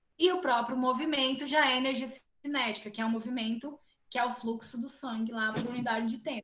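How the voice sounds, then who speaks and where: At a fairly quick pace, a woman speaks in a high voice with fairly even intonation. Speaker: biophysics professor. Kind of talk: lecture.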